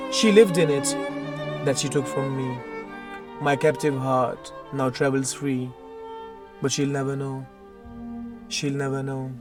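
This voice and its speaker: Over music in the background, the speaker goes at a moderate pace with ordinary pitch variation. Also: man. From Pakistan. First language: Urdu. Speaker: poet. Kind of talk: poetry reading.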